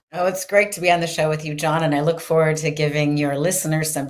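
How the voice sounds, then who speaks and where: A woman with a Canadian accent speaks at a fairly quick pace in a very deep, low pitch. Her intonation stays fairly even against a quiet background. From Canada (British Columbia). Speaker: author and entrepreneur. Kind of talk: podcast interview. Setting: video call. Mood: warm, cheerful. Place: home room. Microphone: studio mic.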